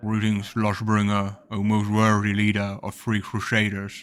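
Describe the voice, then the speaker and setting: A put-on character voice, rumbling and monotone, with flat intonation at a moderate pace. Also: man, fairly low pitch for a man. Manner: rumbling like bark or floaty like leaves.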